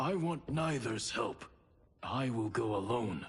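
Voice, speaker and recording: A man puts on a raspy character voice at a medium pitch. He speaks at a fairly slow pace with lively intonation. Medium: short film. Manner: terse, commanding.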